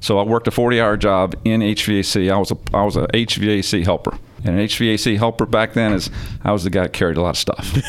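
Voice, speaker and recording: A man talks at a fairly quick pace in a fairly low pitch, his loudness very even and his intonation fairly even. Noticeable background noise is present. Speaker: company president and CEO. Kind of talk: casual interview chat. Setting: on location at a business. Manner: informal, friendly.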